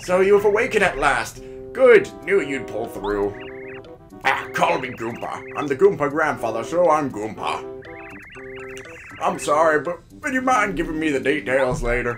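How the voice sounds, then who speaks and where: A man's put-on character voice, fairly high in pitch and at a moderate pace, over clear background music. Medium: role play.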